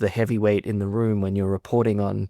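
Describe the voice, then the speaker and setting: A man with an Australian accent, monotone and flat, in a dry, close sound with no echo. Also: very clean recording, silent background. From Australia (Sydney). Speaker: journalist. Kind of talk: podcast interview.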